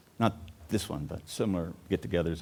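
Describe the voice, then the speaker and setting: Talking at a fairly quick pace, a man keeps his intonation fairly even. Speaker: recovery coach. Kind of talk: conference talk. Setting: live audience. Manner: fast, funny, warm.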